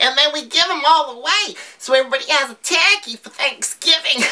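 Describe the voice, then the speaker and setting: A woman puts on a character voice at a high pitch, moving at a fairly quick pace with ordinary pitch variation. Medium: comedy sketch. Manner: giggly, rambling, swears cheerfully.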